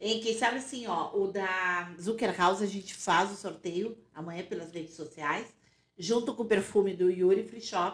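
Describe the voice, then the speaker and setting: A woman speaks in an unremarkable speaking voice at medium pitch and a moderate pace. Her pitch varies in an ordinary way while her loudness swings widely. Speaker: podcast co-host. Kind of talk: casual interview, hosting.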